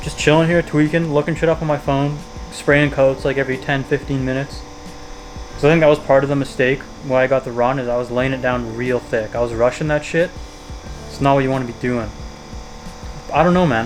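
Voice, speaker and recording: A man's medium-pitched voice at a fairly quick pace, fairly even in intonation, with long, frequent pauses and music in the background. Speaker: car hobbyist vlogger. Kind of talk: casual vlog monologue. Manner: fast.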